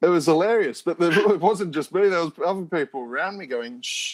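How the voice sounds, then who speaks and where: This man's voice sits high in pitch. He speaks with an Australian accent. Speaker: Bond fan site editor. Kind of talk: casual interview chat. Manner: animated.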